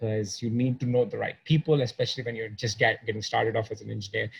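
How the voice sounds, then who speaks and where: A somewhat breathy man with ordinary pitch variation. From India. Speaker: podcast host, performance coach for engineers. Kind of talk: interview podcast.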